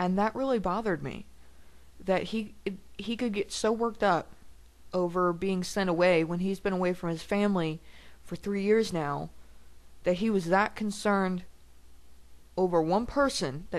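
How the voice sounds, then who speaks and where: A woman talks at a moderate pace with a medium pitch and ordinary pitch variation. Her speech has long, frequent pauses. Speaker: video blogger. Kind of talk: personal video blog. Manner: loud; halting.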